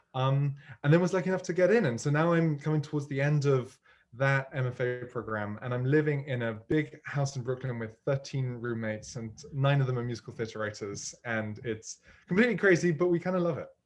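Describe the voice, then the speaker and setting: A man talks at a fairly quick pace with a British accent. His pitch is fairly high with ordinary variation. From United Kingdom. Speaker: musical theatre writer. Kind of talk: interview. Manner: hesitant, many fillers.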